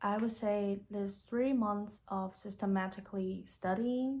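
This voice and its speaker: Speaking at a fairly slow pace with a Chinese accent, a woman sounds somewhat breathy, her tone dark and mellow and her intonation fairly even. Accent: Mandarin Chinese accent in English. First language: Mandarin. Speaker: YouTuber, language learner. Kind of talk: vlog tutorial. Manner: casual.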